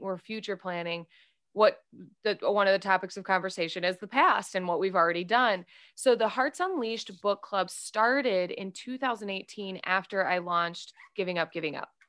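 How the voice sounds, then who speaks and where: In an American accent, a woman speaks at a moderate pace with a medium pitch and ordinary pitch variation. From US Midwest. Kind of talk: interview. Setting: remote call. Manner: animated.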